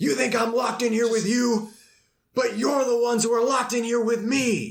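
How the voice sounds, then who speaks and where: A man adopts a put-on character voice with an extremely high pitch, speaking at a moderate pace. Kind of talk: formal, no contractions. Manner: monotone, menacing.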